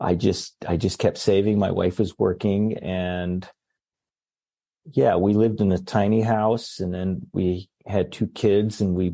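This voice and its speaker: A man's dark, mellow voice, fairly low in pitch, with fairly even intonation over a quiet background. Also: fairly slow pace. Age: 60s. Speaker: pediatrician. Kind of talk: casual chat.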